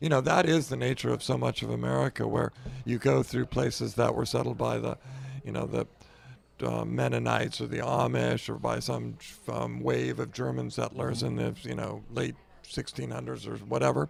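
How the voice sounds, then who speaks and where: A man's very deep, low voice at a moderate pace with monotone, flat intonation. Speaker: author and former newspaper reporter. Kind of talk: interview.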